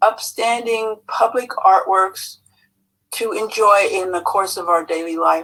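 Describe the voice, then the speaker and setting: Bright and sharp in tone, a woman's voice sits at a medium pitch and moves at a fairly slow pace with ordinary pitch variation. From Los Angeles. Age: 70s. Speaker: artist, public commenter. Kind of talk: public comment at commission hearing.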